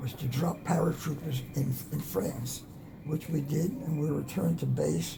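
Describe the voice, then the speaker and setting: Over noticeable background noise, a man with an American accent speaks at a moderate pace and very even loudness, his fairly high pitch showing ordinary variation. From Atlanta, Georgia, USA. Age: 90s. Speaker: war veteran. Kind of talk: interview answer.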